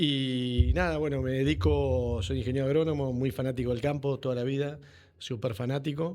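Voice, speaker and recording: A man at a medium pitch and a moderate pace, in a plain, everyday voice. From Buenos Aires, Argentina (San Isidro). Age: 40s. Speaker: agronomist, company CEO. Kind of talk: podcast interview.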